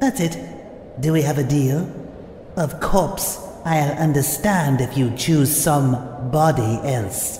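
A man uses a put-on character voice, pitched fairly high, at a fairly slow pace. There is a slight echo. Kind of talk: voice-over demo pitch. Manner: gleeful, punning, theatrical.

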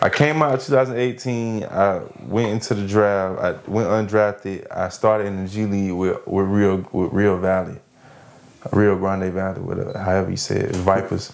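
Fairly low-pitched man with an American accent, moderate pace and fairly even intonation. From Lakeland, Florida; Florida. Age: 20s. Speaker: professional basketball player; podcast guest. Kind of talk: casual chat. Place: home room.

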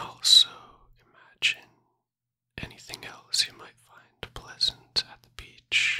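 A man whispers at a fairly slow pace. His loudness swings widely. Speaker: meditation guide. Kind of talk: guided meditation. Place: home room. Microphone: studio mic.

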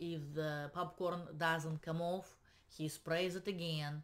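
A woman with a Russian accent speaks at a very slow pace in a fairly low voice. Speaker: realtor. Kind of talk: tutorial. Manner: halting. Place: home room. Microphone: webcam.

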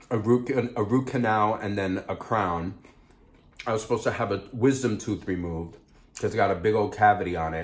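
Somewhat breathy, the voice moves at a fairly quick pace with fairly even intonation. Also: man. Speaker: mukbang vlogger. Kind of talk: casual vlog chat. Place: home room. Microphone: phone near.

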